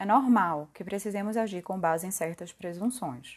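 The woman's pitch sits at a medium level. Her background is quiet. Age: 20s. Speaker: podcast host. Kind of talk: reflective monologue.

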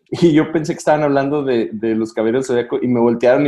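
Speaking with a southern Mexican accent, a man uses a medium pitch and a dark, mellow tone. His pace is fairly quick, with ordinary pitch variation. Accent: sing-song southern Mexican. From southern Mexico, provinces. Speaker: pastor and podcast host. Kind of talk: casual chat.

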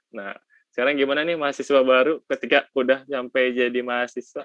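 Very fast speech from a man with a West Javanese accent, medium in pitch, with a dry, close sound and no echo. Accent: Sundanese. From West Java (Sundanese). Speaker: student podcast host. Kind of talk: casual chat. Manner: animated.

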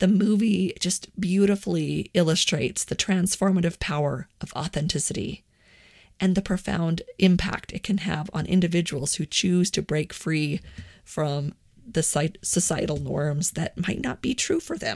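The recording is very clean, with a silent background. A woman speaks with vocal fry at a fairly low pitch. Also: ordinary pitch variation, moderate pace. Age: 40s. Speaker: podcast host on personal growth. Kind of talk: solo monologue podcast.

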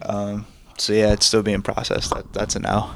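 A man's fairly low-pitched voice at a moderate pace, with noticeable background noise. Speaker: filmmaker and music video director. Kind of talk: casual chat.

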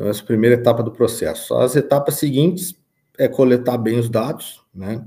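Somewhat breathy, a man speaks at medium pitch with a dark, mellow tone. His pace is fairly quick, and his pitch varies in an ordinary way. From southern Brazil, Rio Grande do Sul (São Gabriel). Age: 30s. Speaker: farm manager and financial consultant. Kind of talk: interview.

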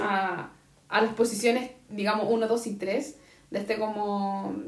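Fairly slow, fairly even speech from a woman with a Chilean accent and a fairly high pitch, with audible room echo. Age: 30s. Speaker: podcast co-host. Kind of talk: casual chat.

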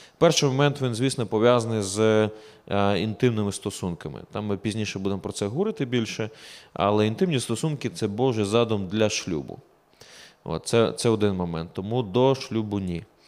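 A man with a fairly low voice speaks at a moderate pace with ordinary pitch variation in a very clean recording with a silent background. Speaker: pastor. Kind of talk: casual Q&A chat.

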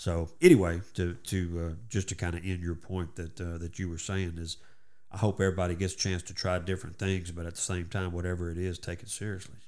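With a Texan accent, a man of very deep, low pitch talks fairly quickly in a monotone, flat intonation. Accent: Southeast Texas Southern. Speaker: radio host. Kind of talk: casual interview chat.

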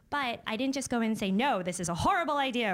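A woman with an American accent speaks at a very fast pace with lively intonation. The recording is very clean, the background silent. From upstate New York. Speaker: magazine editorial director. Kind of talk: live panel discussion. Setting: stage with audience.

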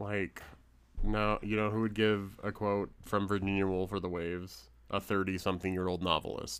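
A man in a normal speaking voice, fairly low in pitch, at a moderate pace with ordinary pitch variation. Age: 30s. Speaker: podcast co-host. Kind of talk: casual chat.

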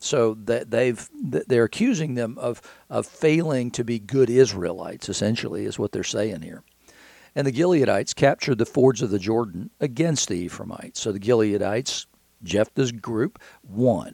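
A man with a Southern US accent speaks at a medium pitch and a moderate pace, his dark, mellow tone carrying ordinary pitch variation over a very clean recording with a silent background. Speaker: podcast host and Bible teacher. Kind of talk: devotional Bible teaching. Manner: halting, conversational with fillers.

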